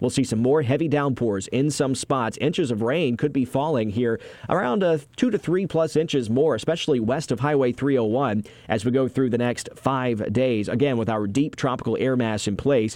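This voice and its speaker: At a moderate pace, a man speaks in a normal speaking voice. His medium pitch shows ordinary pitch variation. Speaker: TV meteorologist. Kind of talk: scripted weather report. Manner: brisk, even, formal broadcast delivery; reads forecast as a steady run of day-by-day lines.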